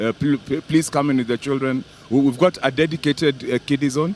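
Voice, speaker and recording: The speaker talks at a fairly quick pace with ordinary pitch variation. Music plays in the background. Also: man, dry, close sound with no echo. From Kenya. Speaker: rugby tournament official. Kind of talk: live interview. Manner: halting, heavy word repetition.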